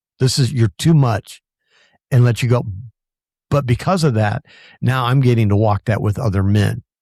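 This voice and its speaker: A man's medium-pitched, somewhat breathy voice with a dark, mellow tone, at a moderate pace with long, frequent pauses, very even loudness and ordinary pitch variation, on a very clean recording with a silent background and a dry, close sound with no echo. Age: 60s. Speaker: podcast host. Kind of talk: conversational interview.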